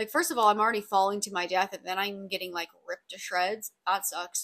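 A woman with a raspy voice and a fairly bright tone speaks with fairly even intonation. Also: medium pitch for a woman, fairly quick pace.

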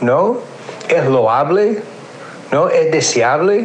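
Noticeable background noise and audible room echo around a man speaking at a very slow pace. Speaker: sociology professor. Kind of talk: interview. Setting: remote, recorded voice notes. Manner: hesitant, many fillers.

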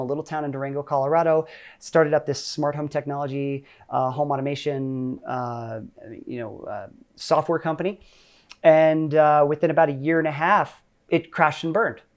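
A man with an American accent speaks in a normal speaking voice, his pitch fairly high and his intonation fairly even, at a fairly quick pace on a very clean recording with a silent background. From Ohio, US. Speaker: tech professional and career influencer. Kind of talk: podcast interview. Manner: casual.

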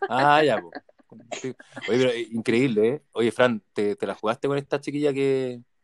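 A man with a Chilean accent, medium pitch and ordinary pitch variation, fairly slow pace, in a dry, close sound with no echo. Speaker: podcast host. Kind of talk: casual chat.

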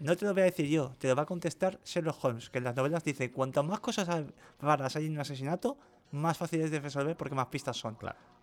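On a very clean recording with a silent background, a man speaks at a very fast pace. His pitch is fairly high, with ordinary variation. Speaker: podcast co-host. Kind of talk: casual chat.

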